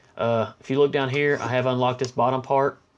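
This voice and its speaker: Against noticeable background noise, a man speaks at a medium pitch. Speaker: gaming youtuber. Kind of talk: gameplay commentary. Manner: fast.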